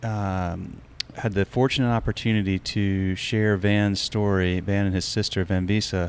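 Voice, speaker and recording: With a plain, everyday voice of fairly low pitch, a man keeps a moderate pace, fairly even intonation and very even loudness. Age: 40s. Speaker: podcast host. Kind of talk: interview. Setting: on location at a brewery.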